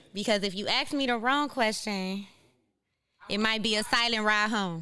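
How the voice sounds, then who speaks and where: A woman with a fairly high pitch and a bright, sharp tone, at a moderate pace with ordinary pitch variation, amid audible room echo. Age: 30s. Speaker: podcast host. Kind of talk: live podcast monologue. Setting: stage with live audience. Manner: casual, conversational.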